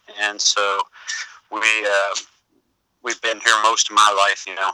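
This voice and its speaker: Dry and close with no echo, a man's bright, sharp tone comes through at a moderate pace. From Louisville, Kentucky (moved from Cork as a child). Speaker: bass player and studio owner. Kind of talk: interview.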